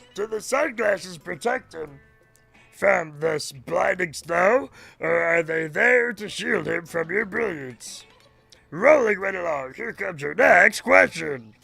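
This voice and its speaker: Faint music plays in the background as a man does a put-on character voice at a high pitch and a fairly slow pace. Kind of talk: game show host patter. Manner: cheerful, playful, mock-dramatic.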